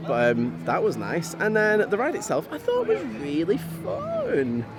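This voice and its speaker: A man with a Yorkshire accent at a fairly slow pace, music in the background. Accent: weird accent, northwestern Yorkshire. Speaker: theme park vlogger. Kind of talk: casual chat.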